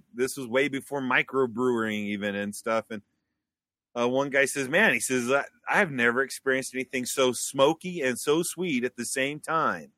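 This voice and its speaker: In a very clean recording with a silent background and a dry, close sound with no echo, a man with an American accent speaks at a moderate pace and medium pitch, with ordinary pitch variation and an ordinary speaking voice. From Wyoming, US. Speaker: beekeeper and mead maker. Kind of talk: casual interview chat.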